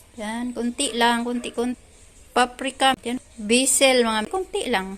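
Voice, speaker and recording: A woman speaks at a fairly slow pace with a high pitch. Background noise is noticeable. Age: 50s. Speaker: vlogger. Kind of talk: casual vlog narration. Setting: outdoors.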